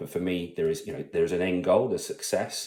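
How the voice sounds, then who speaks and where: A man's fairly low voice with a dark, mellow tone. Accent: British. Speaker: salesperson and father vlogger. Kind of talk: personal vlog monologue. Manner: halting, many fillers.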